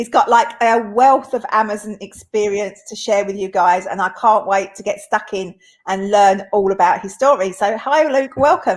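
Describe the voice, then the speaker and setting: An upbeat voice with an Essex accent, at a moderate pace, hardly any pauses and ordinary pitch variation. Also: woman, medium pitch for a woman. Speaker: interviewer. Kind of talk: interview.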